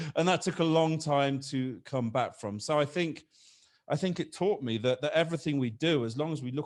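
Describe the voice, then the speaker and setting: The speaker has a British accent and ordinary pitch variation. The pace is fairly quick, and the recording is very clean with a silent background. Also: man. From Britain. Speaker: business consultant. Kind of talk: podcast interview. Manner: halting, repeats words.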